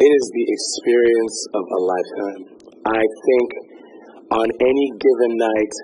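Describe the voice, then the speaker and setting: A man at a fairly slow pace with long, frequent pauses, over noticeable background noise. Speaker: stage actor. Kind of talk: interview.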